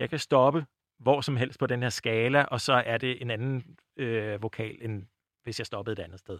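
Dry, close sound with no echo on a man's voice at medium pitch. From Bornholm, Denmark. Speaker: linguistics researcher. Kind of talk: interview about phonetics. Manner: hesitant with many fillers.

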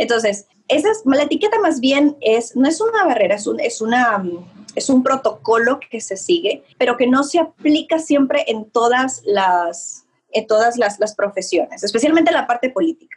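This woman's voice is high-pitched and swings very widely in pitch. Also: moderate pace. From Ecuador. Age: young. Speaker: image consultant. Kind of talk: interview. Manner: halting.

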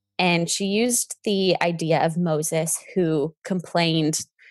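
A woman with an unremarkable speaking voice, fairly low pitch, a Canadian accent and fairly even intonation, dry and close with no echo, quiet background. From British Columbia, Canada. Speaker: event planner and blogger. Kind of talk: interview.

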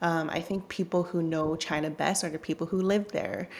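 A woman with a Canadian accent speaks in a fairly low, flat monotone with vocal fry. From Canada. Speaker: journalist and author. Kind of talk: interview.

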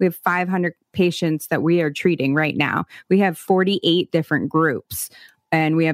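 A woman with a fairly low pitch speaks at a moderate pace and very even loudness, in a dry, close sound with no echo. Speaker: recovery podcast host. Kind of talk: casual interview conversation. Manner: animated.

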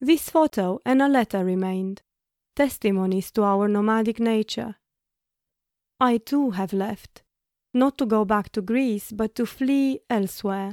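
A woman talks in an ordinary speaking voice, fairly high-pitched with ordinary pitch variation, at a fairly slow pace. The recording is very clean with a silent background and a dry, close sound with no echo. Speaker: podcast co-host. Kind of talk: personal storytelling.

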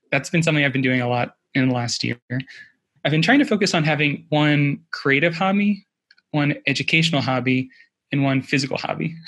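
This man has a plain, everyday voice, fairly high in pitch, and speaks at a fairly quick pace. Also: ordinary pitch variation. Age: 30s. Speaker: early-retired personal finance blogger. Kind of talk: interview conversation.

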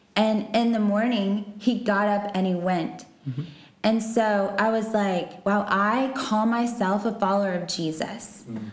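Audible room echo surrounds a woman with an American accent whose somewhat breathy, medium-pitched voice moves at a fairly slow pace with fairly even intonation. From Texas. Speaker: missionary. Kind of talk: interview.

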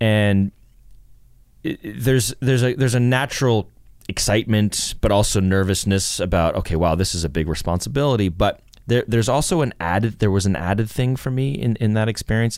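With a Canadian accent, a man talks at a fairly quick pace in a fairly low pitch, with ordinary pitch variation and very even loudness. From Canada, Toronto suburbs. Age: 40s. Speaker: actor and director. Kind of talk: interview. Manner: halting, many repetitions.

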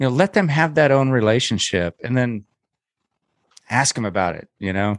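Dry and close with no echo, a man with an ordinary speaking voice talks at a moderate pace and medium pitch, his intonation lively. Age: 50s. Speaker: podcast co-host and producer, parent of a pro wakesurfer. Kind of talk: casual chat.

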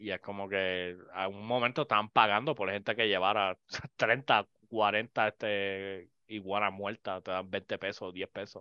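In an ordinary speaking voice, a man talks at a fairly slow pace with a fairly low pitch and fairly even intonation. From Puerto Rico. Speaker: podcast host. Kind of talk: casual chat.

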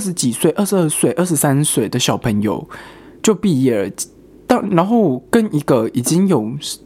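A man's pitch swings very widely, with noticeable background noise behind him. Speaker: podcast host. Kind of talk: casual solo chat.

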